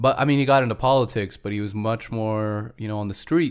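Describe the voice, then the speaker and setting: With an unremarkable speaking voice, a man speaks at a fairly low pitch with ordinary pitch variation on a very clean recording with a silent background. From United States. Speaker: podcast co-host. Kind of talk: casual chat.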